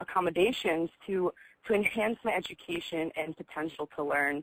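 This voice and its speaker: A woman speaks in a normal speaking voice. Her pitch is fairly low, with ordinary pitch variation. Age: 20s. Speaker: college student sharing lived experience. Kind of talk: personal testimony on webinar. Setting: video call webinar.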